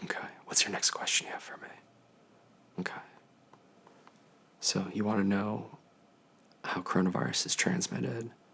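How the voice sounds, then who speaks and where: Whispering in a calm, gentle tone at a fairly quick pace, a man leaves long, frequent pauses as his loudness swings widely over noticeable background noise. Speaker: infectious disease physician. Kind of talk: ASMR telehealth consultation, educational. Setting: video telehealth call. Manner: calm, gentle, soft-spoken.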